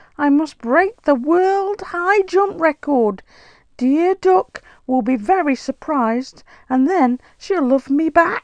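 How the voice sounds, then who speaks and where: Against a quiet background, a high-pitched, put-on character voice speaks at a fairly slow pace. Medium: read story. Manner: earnest, excitable.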